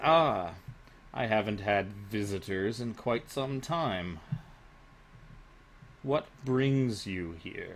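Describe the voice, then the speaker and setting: Doing a raspy, put-on character voice, a man speaks very slowly at a fairly low pitch, with long, frequent pauses and clear background noise. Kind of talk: formal, archaic-sounding.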